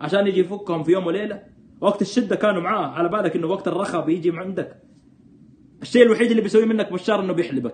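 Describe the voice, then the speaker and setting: Over light background noise, a man with a high pitch talks at a very fast pace in an animated tone, his pitch varying in an ordinary way. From Saudi Arabia, Jeddah; Saudi Arabia. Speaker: political commentator. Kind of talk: live stream commentary. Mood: sarcastic, animated, critical. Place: home room. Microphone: phone near.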